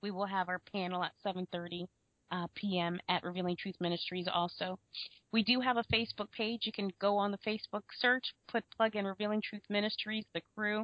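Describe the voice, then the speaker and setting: An American-accented woman talks in an ordinary speaking voice at a medium pitch. Her intonation stays fairly even, and her pace is moderate. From US, Florida. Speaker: co-host.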